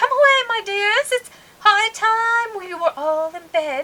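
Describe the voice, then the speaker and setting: A woman performs a put-on character voice, squeaky and extremely high in pitch. She talks at a fairly slow pace. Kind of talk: fussy, motherly. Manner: trembling, anxious.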